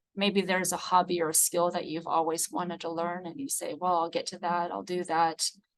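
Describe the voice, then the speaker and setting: A woman with a fairly low pitch talks at a fairly quick pace. Her intonation is fairly even, with hardly any pauses. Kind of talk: webinar presentation.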